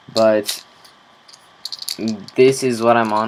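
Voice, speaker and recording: Background noise is noticeable. A man's fairly low voice comes through it. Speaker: vlogger. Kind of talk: casual vlog monologue. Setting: recorded on camera. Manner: casual with filler words.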